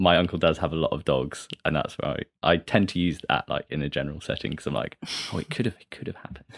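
A man speaks at a very fast pace in a very deep, low voice with vocal fry and ordinary pitch variation. His loudness swings widely, and the sound is dry and close with no echo. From Derby, English Midlands. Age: 20s. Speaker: dating podcast guest. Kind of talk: casual interview chat.

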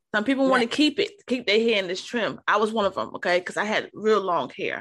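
A woman speaks at a fairly quick pace with lively intonation and a medium pitch, against a quiet background. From New York, Harlem. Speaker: podcast host. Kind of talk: casual interview.

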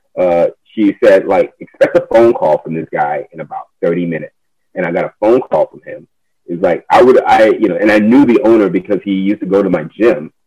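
A man talks at a fairly quick pace with big swings in loudness, recorded dry and close with no echo. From United States, child of immigrants. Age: 30s. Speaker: community cycling organizer. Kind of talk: casual interview.

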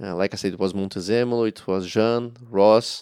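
The man has a Portuguese accent and a fairly low pitch. His intonation is fairly even, in a dry, close sound with no echo. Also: very clean recording, silent background. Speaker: former racing driver. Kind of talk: interview. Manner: halting.

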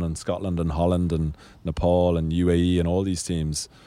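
In a Dublin accent, a man speaks with a very deep, low pitch and a dark, mellow tone, his intonation flat and monotone, on a very clean recording with a silent background. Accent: Dublin Irish. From Ireland, Dublin (Sandymount). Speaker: national cricket team captain. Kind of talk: interview.

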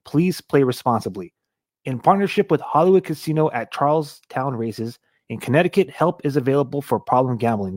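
Recorded very cleanly against a silent background with a dry, close sound and no echo, a man with an American accent uses a plain, everyday voice at a fairly high pitch with lively intonation. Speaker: podcast host. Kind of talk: casual interview.

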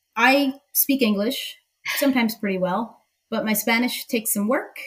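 A woman in a plain, everyday voice, fairly high in pitch, with fairly even intonation and a moderate pace. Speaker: tequila social media personality. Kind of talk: casual chat.

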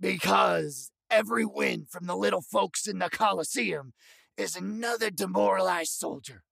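Moderate pace and medium pitch in a man's put-on character voice. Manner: folksy, encouraging, wry.

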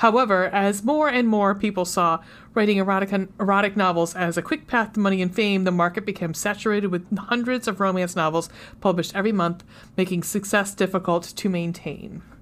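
At a fairly quick pace, a woman with a plain, everyday voice speaks at a medium pitch, with ordinary pitch variation and very even loudness. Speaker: podcast host. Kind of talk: casual chat. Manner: self-deprecating, joking.

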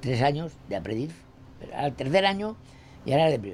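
Very wide pitch swings mark this man's fairly quick speech. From Castile, Spain (Burgos). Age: 90s. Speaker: retired printer. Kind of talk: interview. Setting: at his home. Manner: halting.

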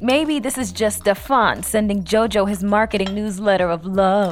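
With music in the background, the speaker uses a playful tone at a moderate pace, with hardly any pauses. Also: woman. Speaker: character in a scripted comedy podcast. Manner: teasing, playful.

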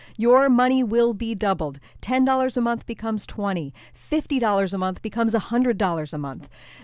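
Over a very clean recording with a silent background, a woman uses an ordinary speaking voice, fairly high in pitch, at a fairly quick pace with lively intonation. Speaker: public radio staffer. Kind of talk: fundraising appeal.

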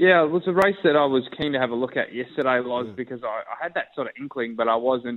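Barely pausing, a man with an Australian accent talks very fast using ordinary pitch variation. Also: medium pitch for a man. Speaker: racing analyst. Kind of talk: radio interview.

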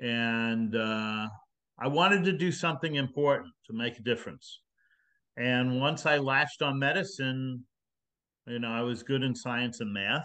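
Fairly slow speech in a bright, sharp tone with ordinary pitch variation against a quiet background. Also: man, medium pitch for a man. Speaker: retired physician. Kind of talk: interview.

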